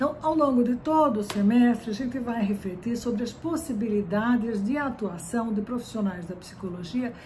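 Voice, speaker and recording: Fairly high-pitched woman's voice with ordinary pitch variation, audible room echo and noticeable background noise. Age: 60s. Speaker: psychology professor. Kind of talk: lecture. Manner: frequent fillers and repetitions.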